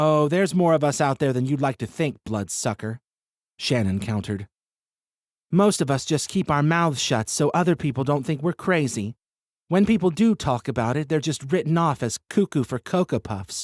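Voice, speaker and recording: Using a put-on character voice, a man speaks at a fairly high pitch and moderate pace in a very clean recording with a silent background. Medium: read story. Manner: blunt, sarcastic.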